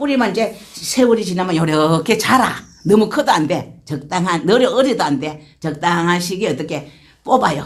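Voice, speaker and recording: A woman's fairly low voice with very wide pitch swings at a moderate pace, in audible room echo. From rural Korea. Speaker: church deaconess giving testimony. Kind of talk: testimony.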